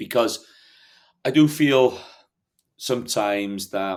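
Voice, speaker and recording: Recorded very cleanly against a silent background, a man speaks with a Welsh accent and ordinary pitch variation. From North Wales. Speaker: hill farmer. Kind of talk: podcast interview.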